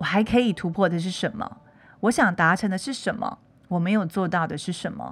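A woman, somewhat breathy, speaks fairly quickly, her pitch varying in an ordinary way. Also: medium pitch for a woman. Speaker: podcast host. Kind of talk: casual monologue.

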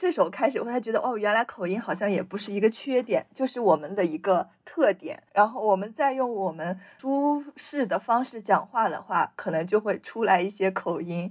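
Her intonation is lively and her pitch fairly high. The woman talks at a moderate pace. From Shanxi, China. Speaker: podcast co-host. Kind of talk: casual chat.

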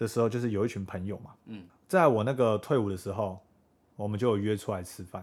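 Speaking at a fairly quick pace, a man with a plain, everyday voice keeps a fairly low pitch and fairly even intonation. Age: 20s. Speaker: podcast co-host. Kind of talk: casual chat.

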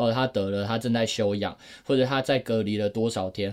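In a very clean recording with a silent background, a man speaks at medium pitch with ordinary pitch variation. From Taiwan. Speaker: podcast co-host. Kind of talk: casual chat. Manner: animated.

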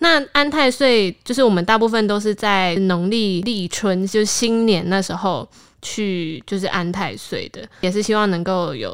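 With a Taiwanese accent, a woman at a medium pitch speaks at a fairly slow pace with lively intonation and hardly any pauses, on a very clean recording with a silent background. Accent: Taiwanese Mandarin. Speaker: podcast host. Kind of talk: casual chat.

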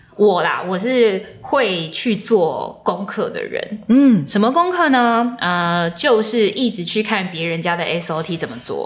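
A woman talks very slowly at a medium pitch, her intonation lively. Audible room echo and noticeable background noise fill the recording. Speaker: journalist and event emcee. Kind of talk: casual interview.

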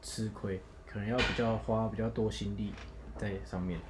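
Audible room echo surrounds a man who speaks with fairly even intonation. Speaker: graduating university student. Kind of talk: casual chat.

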